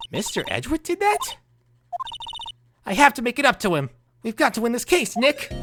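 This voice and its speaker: A put-on character voice, high-pitched and at a fairly quick pace, broken by long, frequent pauses. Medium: game stream. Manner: bubbly, chatty.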